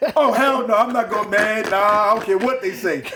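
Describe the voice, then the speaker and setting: A loud, passionate man at a moderate pace, with ordinary pitch variation over noticeable background noise. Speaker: former bank robber interviewee. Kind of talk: casual interview. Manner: forceful, passionate delivery.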